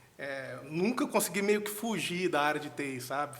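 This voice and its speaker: Here a man speaks in a Minas Gerais accent. His voice is high, with lively intonation. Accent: Mineiro (Minas Gerais) Brazilian Portuguese. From Brazil, Minas Gerais (Nova Serrana). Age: 30s. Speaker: software architect and tech lead. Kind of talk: podcast interview. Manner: casual, conversational.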